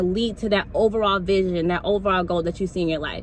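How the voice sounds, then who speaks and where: Amid noticeable background noise, a woman speaks fairly quickly in an animated tone. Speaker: motivational speaker. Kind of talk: motivational talk.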